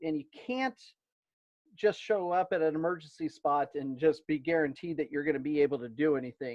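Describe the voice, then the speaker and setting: At a fairly quick pace, a man speaks with a fairly high pitch. His pitch varies in an ordinary way. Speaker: ham radio club presenter. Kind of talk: virtual meeting presentation. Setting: video call. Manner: hesitant, many fillers.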